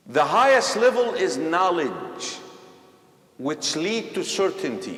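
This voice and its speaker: A man speaks at a very slow pace, with noticeable background noise and audible room echo. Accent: Egyptian. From Egypt. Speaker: imam. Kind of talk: religious class discussion with youth. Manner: animated.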